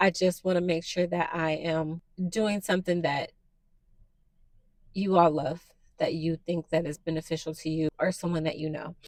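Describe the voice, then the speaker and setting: At a fairly low pitch, a woman speaks in a monotone, flat intonation with long, frequent pauses. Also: moderate pace. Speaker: new YouTuber / podcaster. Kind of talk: casual personal monologue to camera. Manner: soft-spoken; halting, many fillers.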